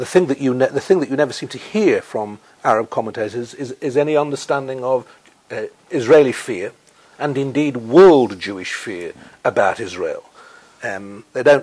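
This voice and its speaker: A man speaks at a moderate pace in a medium pitch, his intonation lively. His loudness swings widely from moment to moment. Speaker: novelist and columnist. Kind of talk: interview answer. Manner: eloquent, articulate.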